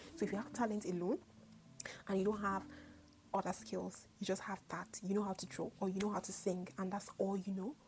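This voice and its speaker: A woman's medium-pitched voice with vocal fry, a fairly quick pace and fairly even intonation. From northern Nigeria (Kaduna State). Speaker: YouTuber. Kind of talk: casual vlog monologue.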